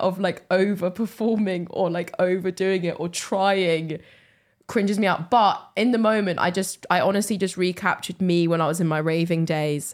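With an English accent, a woman speaks at medium pitch with fairly even intonation. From England. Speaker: comedian and podcast co-host. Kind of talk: casual chat. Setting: comedy club recording.

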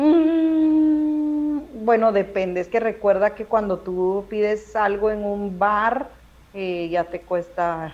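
At a very slow pace, a woman speaks at a fairly high pitch with very wide pitch swings. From Guatemala City. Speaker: stand-up comedian. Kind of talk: casual chat. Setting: video call.

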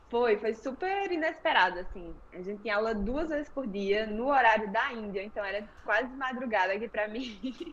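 A woman talks at a moderate pace in a fairly high pitch with lively intonation. Noticeable background noise runs behind her. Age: 20s. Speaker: yoga instructor. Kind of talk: interview.

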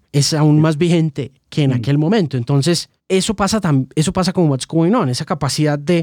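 Fairly high in pitch, a man speaks in an ordinary speaking voice with lively intonation and a dry, close sound with no echo. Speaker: music journalist and interviewer. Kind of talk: podcast interview.

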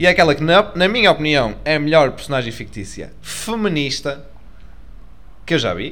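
Using a fairly high pitch with vocal fry, a man speaks at a moderate pace with long, frequent pauses, very wide pitch swings, and big swings in loudness. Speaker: podcast co-host. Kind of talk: casual chat.

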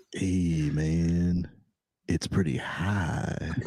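Adopting a put-on character voice, a man pitches it very deep and low. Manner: stoned, slow and laid-back.

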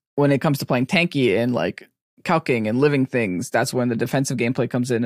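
Talking very fast at a medium pitch, a man comes through with a dry, close sound with no echo on a very clean recording with a silent background. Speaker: podcast co-host and competitive player. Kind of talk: casual chat. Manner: loud; laughs often.

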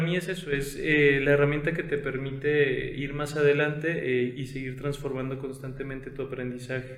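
A man's fairly high voice is heard with audible room echo. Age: 20s. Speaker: podcast host and consultant. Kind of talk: casual chat.

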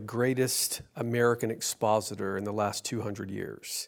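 Speaking in an ordinary speaking voice, a man keeps a medium pitch, fairly even intonation and a fairly slow pace. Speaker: podcast host. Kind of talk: interview.

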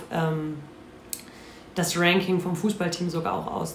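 A woman speaks at a fairly low pitch. Audible room echo and noticeable background noise surround her voice. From North Rhine-Westphalia. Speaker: football player. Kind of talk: casual chat.

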